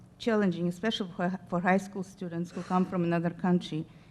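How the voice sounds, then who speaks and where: A woman speaks with a non-native accent. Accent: noticeable foreign. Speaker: school district staff presenter. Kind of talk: board meeting presentation. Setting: school board meeting.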